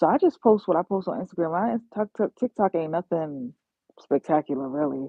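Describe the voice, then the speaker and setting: Speaking at a moderate pace, a woman uses a fairly low pitch and an animated tone. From New York. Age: 30s. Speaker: YouTuber and travel nursing assistant. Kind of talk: casual livestream chat.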